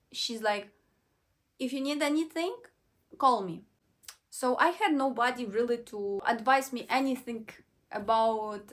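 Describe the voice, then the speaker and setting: A woman with a Ukrainian accent, high-pitched, with lively intonation and long, frequent pauses. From western Ukraine. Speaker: vlogger. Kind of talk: personal storytelling vlog. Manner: halting, self-correcting.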